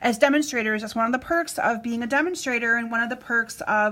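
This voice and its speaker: A woman talks at a high pitch with ordinary pitch variation. There is noticeable background noise. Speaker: craft demonstrator. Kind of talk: live-stream craft tutorial. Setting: Facebook live stream. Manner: fast.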